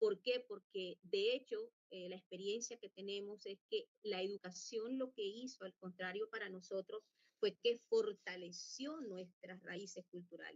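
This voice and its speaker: Speaking fairly slowly with hardly any pauses, a woman at medium pitch uses ordinary pitch variation and big swings in loudness. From Colombia, La Guajira (Wayuu people). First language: Wayuunaiki (speaking Spanish). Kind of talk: conference talk. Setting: virtual conference. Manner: halting, many fillers.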